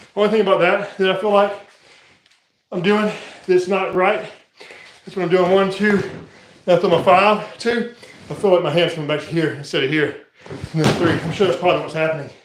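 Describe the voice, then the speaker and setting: A man talks at a fairly quick pace in a high pitch, with fairly even intonation. Long, frequent pauses break his speech amid audible room echo. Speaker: martial arts fitness streamer. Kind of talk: live workout commentary. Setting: live stream. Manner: fast.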